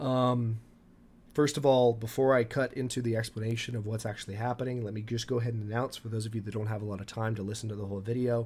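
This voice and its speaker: Somewhat breathy, a man rushes along at a very fast pace in a medium pitch. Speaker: gaming YouTuber. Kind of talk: casual talk to camera.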